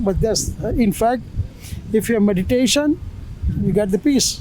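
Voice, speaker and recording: Through noticeable background noise and audible room echo, a man talks at a moderate pace with ordinary pitch variation. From India. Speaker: street interviewee, tourist. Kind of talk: street interview. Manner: halting, many fillers.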